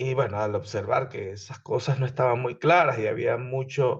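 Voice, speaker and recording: Somewhat breathy, a man's medium-pitched voice moves at a moderate pace. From Venezuela. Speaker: engineering instructor. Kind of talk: lecture.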